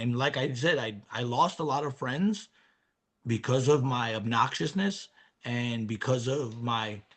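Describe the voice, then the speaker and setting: A man speaks with a New York accent. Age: 50s. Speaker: recovering alcoholic, former business owner. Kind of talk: interview testimony.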